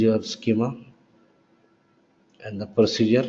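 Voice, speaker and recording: Audible room echo is heard in the recording. The man's pitch sits at a medium level. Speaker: software trainer. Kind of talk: lecture.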